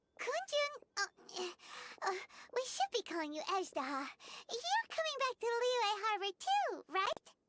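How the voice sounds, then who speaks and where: A squeaky put-on character voice at an extremely high pitch and a moderate pace. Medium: video game.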